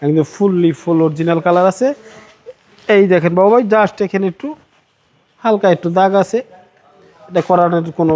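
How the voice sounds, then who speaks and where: This man's voice is high. The pitch moves in a normal, unremarkable way. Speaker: used car dealer. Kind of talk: sales pitch.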